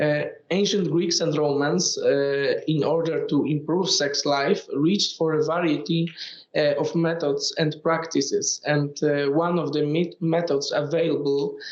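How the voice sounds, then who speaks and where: A man's fairly high voice with monotone, flat intonation, very even loudness and a fairly slow pace, in audible room echo. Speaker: postgraduate student presenter. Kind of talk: academic conference talk. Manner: hesitant, many fillers.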